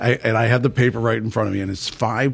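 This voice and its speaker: The speaker has a plain, everyday voice. Pitch rises and falls an ordinary amount. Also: man. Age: 60s. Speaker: church leader. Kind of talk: casual chat.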